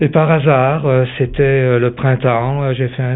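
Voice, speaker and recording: The man's voice has a medium pitch. He speaks very slowly. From Italy, Veneto. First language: Italian (speaking French). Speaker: real estate developer. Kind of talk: interview. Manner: halting, many hesitations.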